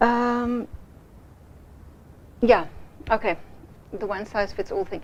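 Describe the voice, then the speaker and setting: A woman talks at a fairly slow pace. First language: not English. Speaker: project management trainer. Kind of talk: business presentation to a client. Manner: halting, with many fillers.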